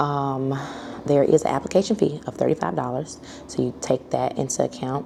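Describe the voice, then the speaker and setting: A woman with an American accent at a moderate pace, with noticeable background noise. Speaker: small business owner vlogger. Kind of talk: casual vlog recap. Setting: at home. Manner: soft-spoken.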